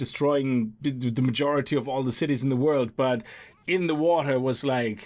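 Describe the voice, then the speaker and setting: Speaking at a fairly quick pace, a man with a non-native accent uses a fairly high voice. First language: not English. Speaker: gaming YouTuber. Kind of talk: let's play commentary. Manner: casual, animated.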